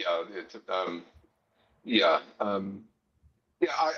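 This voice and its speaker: With a Mid-Atlantic accent, a man speaks at a fairly low pitch. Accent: American, Mid-Atlantic. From US Northeast, Pennsylvania near Philadelphia. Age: 60s. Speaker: gardening video maker. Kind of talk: casual interview chat. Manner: halting, many fillers.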